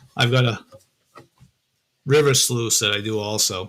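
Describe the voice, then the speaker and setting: This man speaks at a medium pitch with a Massachusetts accent. His intonation stays fairly even. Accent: Massachusetts accent, noticeable. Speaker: metal detecting and prospecting YouTuber. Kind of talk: live stream chat with viewers. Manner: casual, hesitant with fillers.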